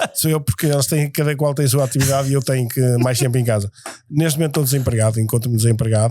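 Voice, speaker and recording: Very fast and very even in loudness, a man's voice has a dark, mellow tone and fairly even intonation. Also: medium pitch for a man. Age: 60s. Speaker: firefighter. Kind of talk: casual interview.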